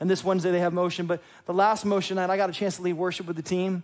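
A man's high-pitched voice at a very fast pace. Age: 30s. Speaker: pastor. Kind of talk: sermon. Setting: church. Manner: animated.

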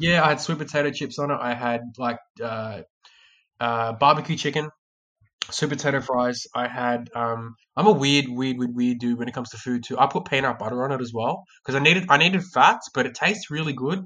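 Bright and sharp in tone, a man with an Australian accent speaks at medium pitch and a fairly quick pace, with ordinary pitch variation. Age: 20s. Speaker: sales trainer. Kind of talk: casual chat. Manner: halting, with frequent repeated words.

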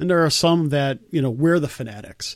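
A man talks in a normal speaking voice, his pitch fairly high with ordinary pitch variation. The recording is very clean, with a silent background. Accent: American. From US Midwest. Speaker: podcast host. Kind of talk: casual chat.

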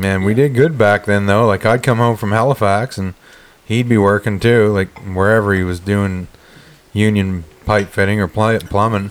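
With a plain, everyday voice, a man talks at a moderate pace, his pitch fairly low and his intonation fairly even. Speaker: podcast host. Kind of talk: casual chat. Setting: recording hunting podcast with friends. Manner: joking, banter.

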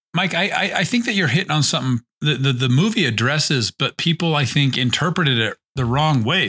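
The voice has a bright, sharp tone and lively intonation. It moves at a fairly quick pace. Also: man. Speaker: podcast co-host. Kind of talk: casual chat.

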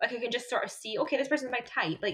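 Talking at a very fast pace, a woman speaks in a Scottish accent. Her voice is high, with ordinary pitch variation. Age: 20s. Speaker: podcast host. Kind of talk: casual chat. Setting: remote recording over internet.

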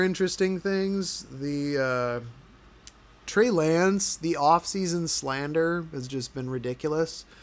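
The speaker is a man with a fairly high pitch. He goes at a very slow pace with ordinary pitch variation. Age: 30s. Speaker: football podcaster. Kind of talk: casual solo podcast commentary. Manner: casual, many filler words.

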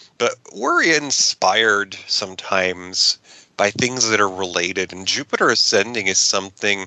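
A man's fairly low voice in a bright, sharp tone, at a fairly slow pace with ordinary pitch variation, in a dry, close sound with no echo. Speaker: film podcast host. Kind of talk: casual chat. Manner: rambling.

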